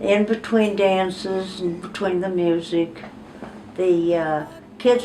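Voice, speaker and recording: In a room with audible echo and noticeable background noise, a woman speaks at a medium pitch with fairly even intonation. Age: 80s+. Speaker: grandmother telling life stories. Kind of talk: interview storytelling. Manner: halting.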